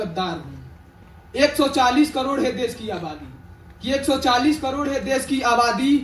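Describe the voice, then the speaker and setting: Against noticeable background noise, a man speaks at an extremely high pitch with ordinary pitch variation. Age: young. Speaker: student poet. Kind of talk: poetry reading. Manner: passionate, fiery.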